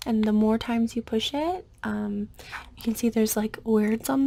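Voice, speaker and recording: A gentle, soft-spoken voice at a moderate pace. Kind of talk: ASMR over-explaining roleplay. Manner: gentle, soft, repetitive.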